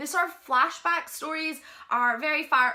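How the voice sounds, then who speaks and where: A woman with a Scottish accent and a bright, sharp tone, with ordinary pitch variation. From Scotland. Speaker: book reviewer. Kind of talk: book review vlog. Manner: casual, with filler ums.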